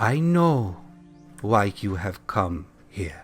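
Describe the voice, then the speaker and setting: A man puts on a character voice, pitched fairly low and calm in tone. Faint music plays in the background. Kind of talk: divine pronouncement. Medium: actual play. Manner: calm, measured, benevolent.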